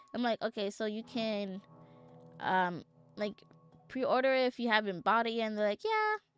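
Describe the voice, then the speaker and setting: Music plays in the background as a woman with an American accent talks at a moderate pace and a fairly high pitch, the sound dry and close with no echo. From New York City, the Bronx. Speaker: vtuber streamer. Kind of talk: casual livestream chat. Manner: casual, filler-heavy.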